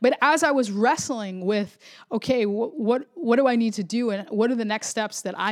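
On a very clean recording with a silent background, a woman in a Florida accent talks at a fairly quick pace with ordinary pitch variation. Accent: American (Florida). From Florida suburbs, Puerto Rican family. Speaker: podcast host, pastor. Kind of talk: solo devotional podcast monologue.

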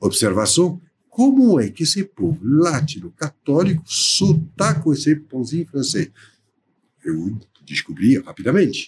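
Vocal fry runs through this man's fairly high voice as he speaks at a fairly slow pace with very wide pitch swings. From France, near Paris. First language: French (speaking Portuguese). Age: 60s. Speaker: baker and entrepreneur. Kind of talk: interview.

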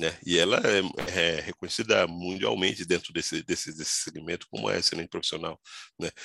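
This man speaks at a fairly quick pace. His sound is dry and close, with no echo. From São Paulo, Brazil (born in Goiás). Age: 40s. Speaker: tax executive. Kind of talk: interview.

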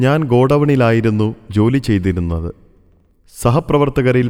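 A man speaks in a plain, everyday voice. It sits at a medium pitch with ordinary pitch variation. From Kerala, Thrissur. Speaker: retired store manager recalling former employer. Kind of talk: scripted narration of a memoir.

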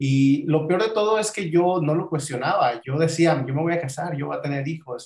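This man's voice is fairly high and somewhat breathy. He keeps a moderate pace with ordinary pitch variation. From Mexico, Acapulco (Guerrero). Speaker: podcast guest sharing life story. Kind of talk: personal testimony in interview.

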